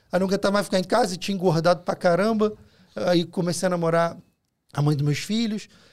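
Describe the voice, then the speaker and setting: A man with a Rio de Janeiro accent, high-pitched and talking at a very fast pace. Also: ordinary pitch variation. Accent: Carioca Brazilian Portuguese. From Rio de Janeiro, Brazil. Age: 40s. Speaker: food delivery entrepreneur. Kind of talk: casual chat. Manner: halting.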